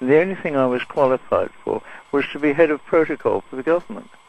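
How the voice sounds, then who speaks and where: A man is speaking. His pace is very fast. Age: 80s+. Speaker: caller. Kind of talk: phone-in call. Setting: phone call.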